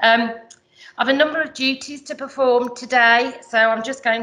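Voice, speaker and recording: Speaking at a fairly slow pace, a woman with a West Midlands accent has a bright, sharp tone. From West Midlands, England. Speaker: business chief executive, incoming chamber president. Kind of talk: formal address at annual general meeting. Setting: virtual online meeting. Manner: hesitant, many filler words.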